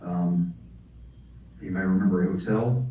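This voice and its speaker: Audible room echo surrounds a man with an American accent and a very deep, low pitch. He talks at a fairly slow pace with ordinary pitch variation. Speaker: author and audiobook narrator. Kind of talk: author talk Q&A. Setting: library talk with audience.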